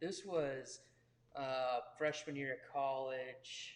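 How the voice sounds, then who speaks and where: A man's fairly high voice with an American accent. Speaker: pastor. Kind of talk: interview.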